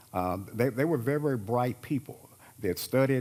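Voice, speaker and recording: On a very clean recording with a silent background, a man with an American accent talks at a fairly quick pace with ordinary pitch variation. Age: 60s. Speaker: panelist on constitutional law. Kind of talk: panel discussion. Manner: halting, many fillers.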